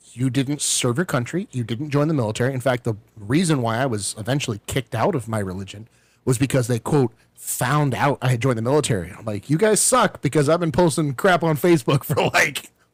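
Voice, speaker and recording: A man's somewhat breathy voice at medium pitch, fairly quick pace and lively intonation, on a very clean recording with a silent background. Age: 30s. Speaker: military veteran podcast host. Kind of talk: casual chat.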